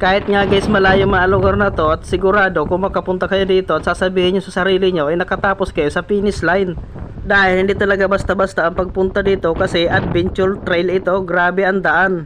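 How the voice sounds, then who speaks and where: Over noticeable background noise, a man with a high pitch talks at a fairly quick pace, keeping his loudness very even and barely pausing. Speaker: travel vlogger. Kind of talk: vlog narration. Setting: outdoors. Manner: stumbling over words; animated.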